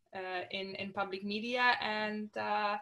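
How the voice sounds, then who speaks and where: A woman speaks with a Polish accent. Her pace is very slow. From Poland. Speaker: artist and activist. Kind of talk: interview. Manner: halting.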